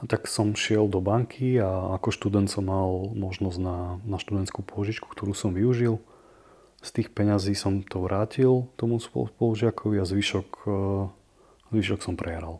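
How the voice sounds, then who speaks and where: A man's somewhat breathy, dark, mellow voice at a fairly low pitch, with fairly even intonation and a fairly slow pace, on a very clean recording with a silent background. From eastern Slovakia, Prešov. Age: 30s. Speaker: podcast host, recovering gambler. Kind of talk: personal testimony.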